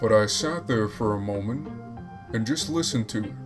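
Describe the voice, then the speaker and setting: A fairly low-pitched man speaks at a fairly quick pace while music plays in the background. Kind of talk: creepypasta horror story narration.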